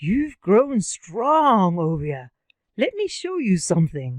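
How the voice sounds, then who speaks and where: A woman's put-on character voice, medium in pitch, very slow, with very wide pitch swings. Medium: read story. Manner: warm, gentle.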